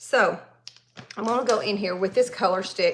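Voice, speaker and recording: A woman with a Southern accent, medium in pitch, at a moderate pace. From Tennessee, US South. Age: 40s. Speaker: makeup artist and hairstylist. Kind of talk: live makeup tutorial. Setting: livestream. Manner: casual, chatty.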